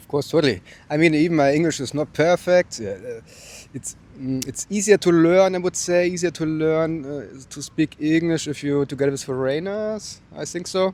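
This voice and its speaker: A man with a German accent, fairly high-pitched, ordinary pitch variation, big swings in loudness and a moderate pace. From southern Germany, Bavaria near Austrian border. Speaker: interviewee, traveler. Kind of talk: casual interview. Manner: halting, many fillers.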